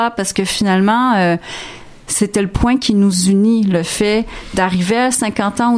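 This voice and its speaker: A woman talks at a fairly slow pace with a medium pitch and fairly even intonation. Her loudness stays very even, with noticeable background noise behind her. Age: 50s. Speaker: interdisciplinary artist. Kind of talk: radio interview. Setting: studio.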